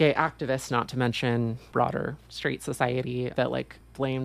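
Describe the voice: This is plain reading aloud. Nothing else is noted about the voice.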